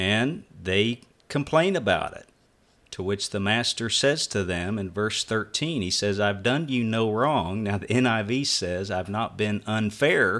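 Here a man speaks in an unremarkable speaking voice at a fairly slow pace. His pitch sits fairly low, with ordinary pitch variation. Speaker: preacher. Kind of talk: casual religious discussion. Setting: video call.

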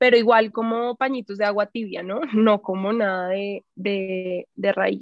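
This woman has an unremarkable speaking voice, medium in pitch. She talks at a fairly slow pace with fairly even intonation. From Colombia, Bogotá. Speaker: actress and healing coach. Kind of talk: casual interview.

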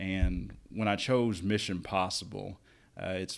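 In a very clean recording with a silent background, a man talks in a flat monotone at a fairly low pitch with a Kentucky accent. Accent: Kentucky Southern. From Northern Kentucky. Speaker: summer camp director. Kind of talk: casual interview chat.

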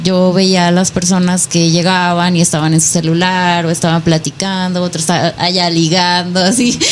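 A woman speaks at a moderate pace with hardly any pauses, a fairly low pitch, very even loudness and monotone, flat intonation. Noticeable background noise runs underneath. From Nayarit, Mexico. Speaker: fitness competitor. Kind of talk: radio interview.

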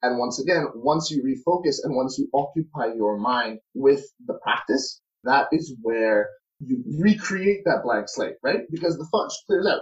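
Somewhat breathy and fairly high, a man's voice moves at a fairly slow pace with very wide pitch swings. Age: 20s. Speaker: university student and spirituality advocate. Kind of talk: casual interview.

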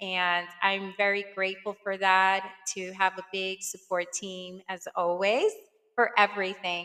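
A woman speaks at a fairly slow pace with a medium pitch and a New York accent. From Brooklyn, New York. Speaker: podcast host. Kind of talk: casual monologue. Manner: hesitant, frequent fillers.

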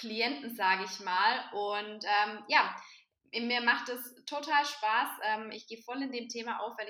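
Bright and sharp, a woman's fairly high voice comes through. She speaks at a fairly slow pace. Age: 20s. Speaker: vegan nutrition advisor. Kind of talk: casual chat.

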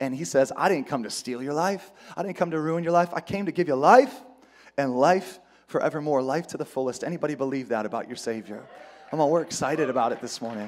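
A man's fairly high voice at a very fast pace, with lively intonation. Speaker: pastor. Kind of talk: sermon. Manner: emotional-sounding.

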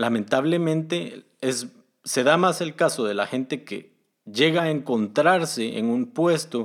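A man with a normal speaking voice talks at a fairly slow pace and fairly high pitch, his intonation lively, in a very clean recording with a silent background. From Guatemala. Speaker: podcast host, software developer. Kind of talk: solo podcast monologue giving career advice.

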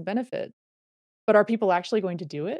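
In a dry, close sound with no echo, a woman with an American accent talks at a very fast pace, her medium pitch carried by lively intonation. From US West, Reno, Nevada. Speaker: former pro cyclist and mentor. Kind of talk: casual interview chat.

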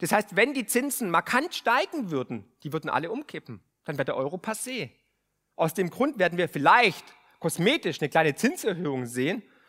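A man's high, bright, sharp voice at a moderate pace, animated with very wide pitch swings, in a dry, close sound with no echo. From Remstal, Swabia, southern Germany. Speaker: podcast host and finance author. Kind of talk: speech to a live audience. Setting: stage with audience.

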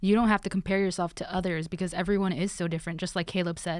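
A normal speaking voice talks with an American accent and fairly even intonation. The recording is very clean, with a silent background. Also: woman. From Los Angeles. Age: 20s. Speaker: sound engineer and producer. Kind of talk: casual chat.

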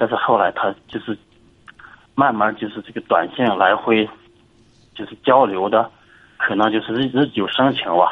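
A man speaks at a moderate pace with fairly even intonation and long, frequent pauses. His loudness swings widely. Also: fairly low pitch for a man. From Inner Mongolia, China. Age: 40s. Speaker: caller seeking advice. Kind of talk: call-in advice conversation. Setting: phone call. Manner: halting, with many repetitions.

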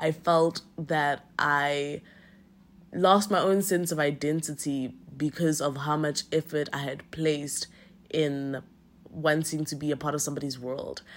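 The pace is fairly slow, with fairly even intonation. The recording is very clean, with a silent background. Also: woman, very deep, low pitch for a woman. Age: 20s. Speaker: podcast host. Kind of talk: personal reflective monologue. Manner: casual, laughs often.

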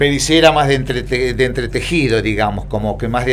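Talking at a very fast pace with fairly even intonation, a man is heard through audible room echo and noticeable background noise. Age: 60s. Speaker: retired footballer. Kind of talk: casual interview. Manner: halting.

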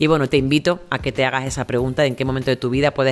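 A woman talks at a very fast pace. She speaks with an Andalusian accent. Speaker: monologue performer and podcaster. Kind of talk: solo podcast monologue. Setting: outdoors in home patio.

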